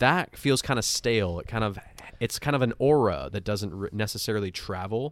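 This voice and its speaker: A man's medium-pitched, plain, everyday voice at a fairly quick pace, with ordinary pitch variation. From Montreal, Canada. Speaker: actor and music producer. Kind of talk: casual chat.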